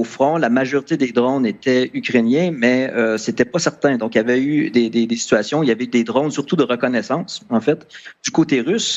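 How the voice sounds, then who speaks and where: A man with a Canadian French accent speaks at a moderate pace and medium pitch, using ordinary pitch variation. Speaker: sniper, volunteer fighter in Ukraine. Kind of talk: TV panel debate. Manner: halting, many repetitions and fillers.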